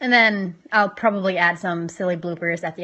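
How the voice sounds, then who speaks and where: A woman's medium-pitched voice has a bright, sharp tone against a quiet background. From Norway. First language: Norwegian. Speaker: language tutorial youtuber. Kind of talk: tutorial. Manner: casual, self-deprecating. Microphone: phone camera, poor audio quality.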